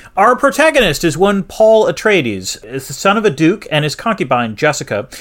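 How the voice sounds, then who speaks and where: Animated in tone, a man talks at a fairly quick pace with vocal fry and very wide pitch swings. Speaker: podcast co-host. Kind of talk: casual chat, podcast banter. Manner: animated, joking.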